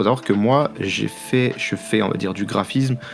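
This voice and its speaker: A man speaks over noticeable background noise. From Paris, France. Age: 20s. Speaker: sports graphic designer. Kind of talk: interview. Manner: halting, many fillers.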